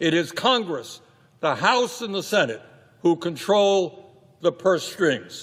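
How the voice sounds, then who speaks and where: At a fairly slow pace, a man with an American accent speaks high, with ordinary pitch variation. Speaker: politician. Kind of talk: political rally speech. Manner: fiery, passionate.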